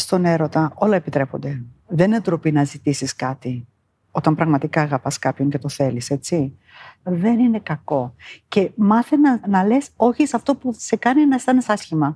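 Against a quiet background, a woman speaks at a moderate pace in a dark, mellow, somewhat breathy tone, her fairly low pitch swinging very widely, the sound dry and close with no echo. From New Zealand, moved to Greece at 12. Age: 50s. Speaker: interviewee. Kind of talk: interview.

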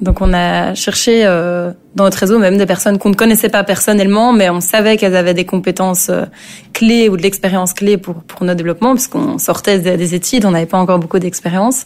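A woman talks at a fairly quick pace in a medium pitch, her intonation fairly even, with noticeable background noise behind her. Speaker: start-up founder. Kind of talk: interview. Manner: hesitant with fillers.

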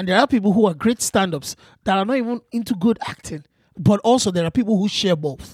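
A man's high-pitched, very fast speech with ordinary pitch variation, in a dry, close sound with no echo. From Nigeria. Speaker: comedian. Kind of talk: casual chat.

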